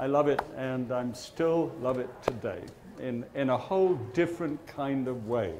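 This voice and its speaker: The voice moves at a fairly slow pace with ordinary pitch variation, and noticeable background noise is present. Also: man. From Britain. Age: 70s. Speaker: TV chef. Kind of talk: live talk to an audience. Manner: gently humorous, youthful. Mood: gently humorous, charming. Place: stage.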